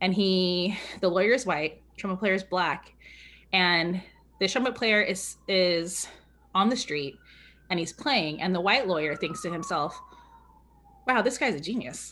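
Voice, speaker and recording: At a fairly slow pace with long, frequent pauses, a woman speaks at medium pitch with ordinary pitch variation and a bright, sharp tone in a very clean recording with a silent background. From California. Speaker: community organizer and writer. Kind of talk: interview. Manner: authoritative, not soft; energetic.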